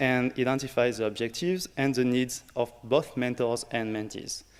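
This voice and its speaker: A French accent colors the speech. The recording is very clean and the background silent. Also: man. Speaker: early career researcher, workshop organizer. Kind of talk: conference workshop introduction. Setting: conference room with audience.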